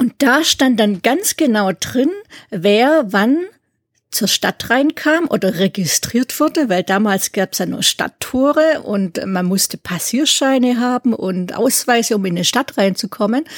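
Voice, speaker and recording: In a plain, everyday voice, a woman speaks at a fairly slow pace and fairly high pitch with lively intonation, on a very clean recording with a silent background and dry, close sound with no echo. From Swabia, southern Germany (near Ulm). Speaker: musicologist and doctoral researcher. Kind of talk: interview.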